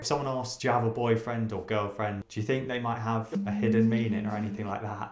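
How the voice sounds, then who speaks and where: Talking at a very fast pace with hardly any pauses, a man holds a flat monotone amid light background noise and audible room echo. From United Kingdom. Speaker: English teacher. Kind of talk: casual talk to camera.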